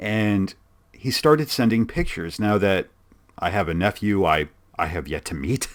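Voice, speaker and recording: Lively intonation marks this man's fairly low-pitched voice at a moderate pace, captured on a very clean recording with a silent background. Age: 30s. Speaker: podcast host. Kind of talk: casual chat. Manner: halting.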